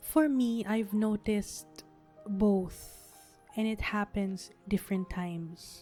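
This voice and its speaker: A soft-spoken woman with a calm tone, very slow pace and fairly even intonation, music in the background. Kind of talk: sleep podcast, personal reflection. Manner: soft-spoken, slow, calm.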